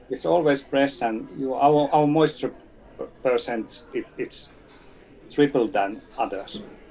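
Speaking at a very slow pace in a Finnish accent, a man uses a fairly high pitch with ordinary pitch variation. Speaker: company CEO. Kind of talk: interview. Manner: halting.

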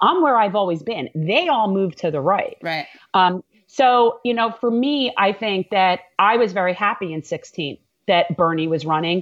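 A woman in a New York accent speaks at a medium pitch and moderate pace with lively intonation. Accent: New York-tinged American. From Florida, US. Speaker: congressional candidate and attorney. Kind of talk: casual interview chat. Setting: live video stream.

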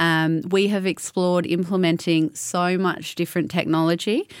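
A woman's fairly low voice with an Australian accent, monotone and flat, at a moderate pace, on a very clean recording with a silent background. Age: 30s. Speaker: winemaker and consultant. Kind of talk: panel discussion.

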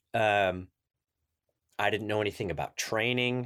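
A man talks at a fairly slow pace in an American accent. The recording is very clean, with a silent background. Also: dry, close sound with no echo. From US Midwest, southern Illinois (Carbondale). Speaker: climbing organization president. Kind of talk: interview.

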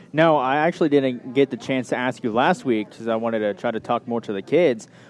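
A man with a plain, everyday voice and an American accent speaks at a fairly quick pace. His pitch is medium, with ordinary pitch variation. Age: 20s. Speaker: local sports radio host. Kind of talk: sports interview show. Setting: live broadcast from a pizza restaurant.

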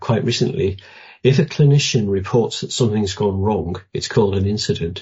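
A somewhat breathy man at a moderate pace with lively intonation. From northern England, Newcastle. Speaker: retired doctor and public health investigator. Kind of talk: interview. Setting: remote line.

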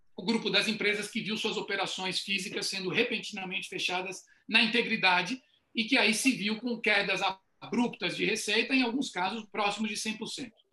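A man speaks in a raised, projected voice at a high pitch. His pace is moderate and his intonation fairly even. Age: 50s. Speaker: retail consultant. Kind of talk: online panel discussion.

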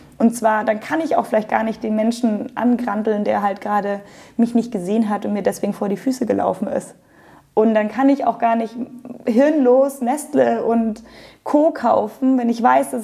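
In an unremarkable speaking voice, a woman with fairly high pitch and ordinary pitch variation talks at a moderate pace. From Germany, Munich (Bavaria). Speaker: yoga teacher and studio owner. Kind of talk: interview. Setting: yoga studio.

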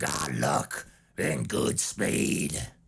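A raspy, very deep male put-on character voice. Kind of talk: folksy. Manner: intense.

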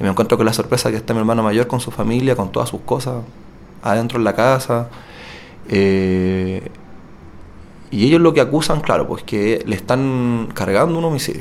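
At a moderate pace broken by long, frequent pauses, a man speaks at medium pitch with ordinary pitch variation. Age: 30s. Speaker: wrongly accused prisoner. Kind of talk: testimony.

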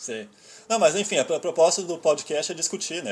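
A man speaks with lively intonation in a Rio Grande do Sul accent. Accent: gaúcho. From Rio Grande do Sul, Brazil. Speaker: podcast host and website editor. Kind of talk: casual chat. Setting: Skype call.

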